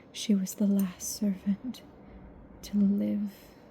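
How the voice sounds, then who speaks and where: Over noticeable background noise, a soft-spoken woman talks in a medium pitch with monotone, flat intonation. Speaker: ASMR audiobook reader. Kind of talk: ASMR book reading for sleep. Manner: soft-spoken, lo-fi.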